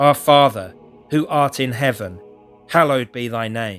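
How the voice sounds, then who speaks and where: Over music in the background, a man uses a put-on character voice that sounds shaky. His pitch is medium with ordinary variation, and his pace is moderate. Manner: trembling, fearful.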